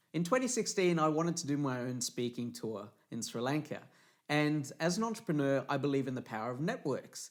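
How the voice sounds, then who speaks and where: With an Australian accent, a man speaks at a fairly quick pace with lively intonation, in a very clean recording with a silent background. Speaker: motivational speaker. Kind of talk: promotional talk. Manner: animated.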